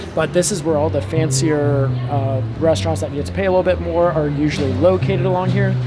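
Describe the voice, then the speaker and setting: Over noticeable background noise and audible room echo, a man talks very fast with hardly any pauses and very wide pitch swings. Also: medium pitch for a man. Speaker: travel vlogger. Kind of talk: casual vlog narration. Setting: outdoor patio on cruise ship. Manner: whispering.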